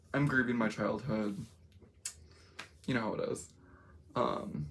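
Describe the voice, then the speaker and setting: This woman has a very deep, low pitch with vocal fry and lively intonation. She talks at a fairly slow pace, and room echo is audible. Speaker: makeup vlogger. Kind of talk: casual makeup vlog. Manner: rambling, conversational with many fillers.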